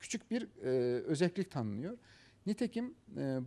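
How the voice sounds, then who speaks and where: A fairly high-pitched man with an Azerbaijani accent, dark and mellow in tone, with very wide pitch swings. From Azerbaijan, Karabakh. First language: Azerbaijani (speaking Turkish). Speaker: professor. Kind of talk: interview. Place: studio. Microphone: lapel.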